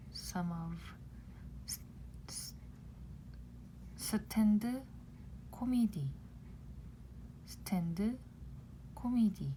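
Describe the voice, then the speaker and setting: A woman speaks with a Gangwon-do Korean accent at a very slow pace. Her speech has long, frequent pauses. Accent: Gangwon-do Korean stress in own pronunciation. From South Korea, Gangwon-do. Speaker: Korean language teacher. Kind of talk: tutorial. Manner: slow, repetitive pronunciation drills.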